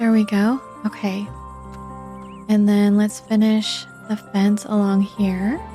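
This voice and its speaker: Over music in the background, a soft-spoken woman with a medium pitch and a calm, gentle tone talks very slowly in a flat monotone, her loudness very even and her speech broken by long, frequent pauses. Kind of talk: casual gameplay commentary. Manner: soft-spoken, calm, gentle.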